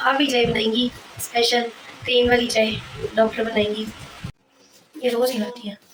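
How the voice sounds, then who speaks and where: A woman speaks at a fairly high pitch in a monotone, flat intonation. Her pace is moderate, broken by long, frequent pauses. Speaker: vlogger, hospital health worker. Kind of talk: casual vlog chat.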